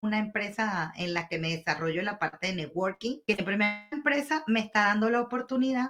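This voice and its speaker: A woman at medium pitch, with music in the background. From Venezuela. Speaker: pharmacist. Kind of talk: interview answer. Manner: energetic.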